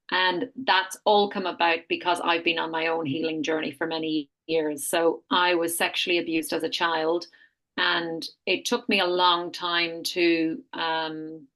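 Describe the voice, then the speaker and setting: With an Irish accent, a woman speaks in a fairly low pitch with a bright, sharp tone. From Ireland. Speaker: health retreat founder. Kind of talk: podcast interview, personal testimony.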